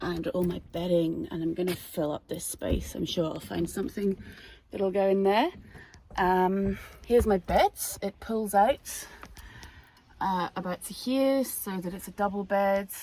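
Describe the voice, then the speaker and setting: A woman with a Scottish accent speaks at a fairly slow pace with long, frequent pauses. Her pitch is medium, with ordinary pitch variation. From Scotland. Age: 20s. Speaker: van-life vlogger. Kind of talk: casual vlog talk to camera.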